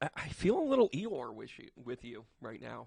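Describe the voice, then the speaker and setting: Dry and close with no echo, a man speaks in an animated tone at a fairly slow pace. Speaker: psychic medium and tarot reader. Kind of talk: tarot reading. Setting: on camera with tarot cards. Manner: casual.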